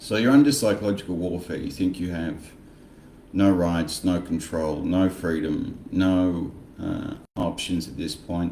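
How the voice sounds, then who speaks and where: In an Australian accent, a man with a very deep, low pitch and a dark, mellow tone talks at a fairly slow pace, his pitch varying in an ordinary way and his loudness swinging widely, with audible room echo. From Australia, Frankston Victoria. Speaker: political commentary vlogger. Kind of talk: casual monologue vlog. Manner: animated, sarcastic.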